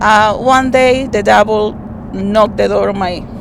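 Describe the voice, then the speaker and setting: A woman speaks at a medium pitch with ordinary pitch variation. Audible room echo is present. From Dominican Republic. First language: Spanish. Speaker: rideshare passenger sharing story. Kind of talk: personal testimony. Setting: in a car. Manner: halting.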